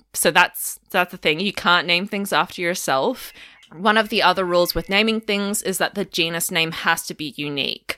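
With an Australian accent, a woman speaks at a moderate pace in a fairly low pitch with ordinary pitch variation. Her tone is bright and sharp. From Australia, Melbourne. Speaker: paleontologist. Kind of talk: casual interview chat.

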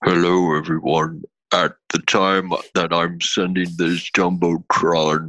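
Using a put-on character voice, a man speaks at a fairly slow pace in a very deep, low pitch with flat, monotone intonation and very even loudness. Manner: ominous, formal announcement.

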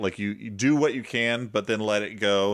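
A man with a normal speaking voice talks at medium pitch, his pitch varying in an ordinary way, on a very clean recording with a silent background. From small-town US. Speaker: comedy podcast host. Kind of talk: casual chat.

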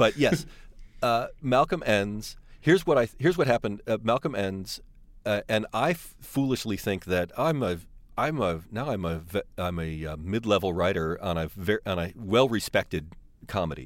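A man with an American accent and a fairly low pitch speaks at a moderate pace with very wide pitch swings, on a very clean recording with a silent background. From US Midwest, suburbs of Detroit. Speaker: television writer. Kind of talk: interview. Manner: halting.

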